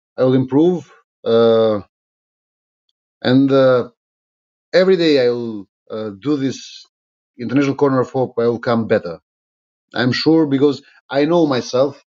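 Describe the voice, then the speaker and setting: A man's medium-pitched voice in an Albanian accent, with ordinary pitch variation and long, frequent pauses. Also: moderate pace. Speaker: politician. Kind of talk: live-stream monologue. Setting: live social media stream. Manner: halting, many fillers.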